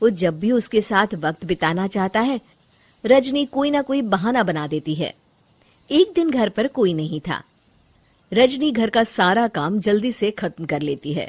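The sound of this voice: This woman speaks at a fairly slow pace with lively intonation. Her voice is at a medium pitch.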